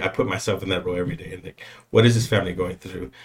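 A somewhat breathy voice with an American accent and ordinary pitch variation. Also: man. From San Antonio, Texas (south side). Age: 40s. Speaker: communications specialist. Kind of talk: interview. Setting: studio.

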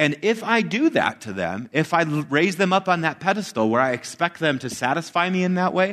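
Against a quiet background, a man with a fairly high voice and vocal fry talks at a fairly quick pace with an animated tone and very wide pitch swings. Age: 30s. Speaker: pastor. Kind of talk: sermon. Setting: church.

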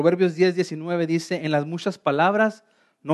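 A man with an unremarkable speaking voice talks at a fairly slow pace with fairly even intonation, in a dry, close sound with no echo. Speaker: pastor. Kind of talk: sermon.

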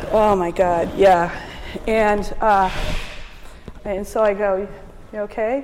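A woman's medium-pitched voice at a fairly slow pace, fairly even in intonation, with audible room echo and noticeable background noise. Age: 50s. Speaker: winery owner and winemaker. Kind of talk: oral history interview.

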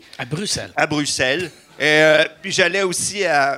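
With a Quebec accent, a man talks in a bright, sharp tone, his pitch fairly high and his intonation fairly even. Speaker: comedian and former nurse. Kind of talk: live stage show chat. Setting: stage with audience.

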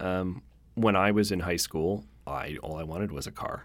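A man with a Canadian accent speaks in a normal speaking voice at a moderate pace, with ordinary pitch variation. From Canada, Victoria BC. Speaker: car-sharing company manager. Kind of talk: interview.

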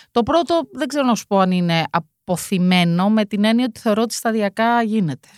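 In a very clean recording with a silent background and a dry, close sound with no echo, a woman with a normal speaking voice talks at a moderate pace with hardly any pauses, her fairly high pitch carried by lively intonation. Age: 50s. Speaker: deputy mayor and former university lecturer. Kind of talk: casual chat.

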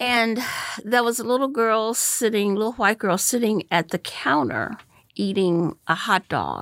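A woman's normal speaking voice with an American accent, medium pitch and lively intonation, in dry, close sound with no echo. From US South, North Carolina (Goldsboro). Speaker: university president. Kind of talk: interview conversation. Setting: video call.

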